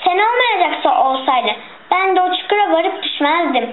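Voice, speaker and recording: Over clear background noise, a woman uses a put-on character voice pitched extremely high, going at a moderate pace. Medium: read story. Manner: sly.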